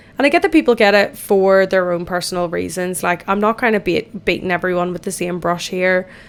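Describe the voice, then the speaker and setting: With an Irish accent, a woman speaks at a fairly quick pace. Her pitch is medium, with ordinary variation. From Ireland. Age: 20s. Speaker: podcast host. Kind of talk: casual chat. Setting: in the bath.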